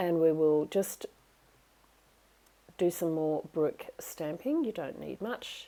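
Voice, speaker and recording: With an Australian accent, a woman speaks at a fairly slow pace in a dark, mellow tone and a fairly low pitch. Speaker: craft demonstrator. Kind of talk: tutorial. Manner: chatty, enthusiastic.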